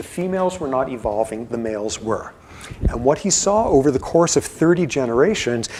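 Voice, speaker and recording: There is noticeable background noise behind a man speaking at a moderate pace. His fairly high voice carries lively intonation. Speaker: professor. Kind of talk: lecture. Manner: mumbling; quiet.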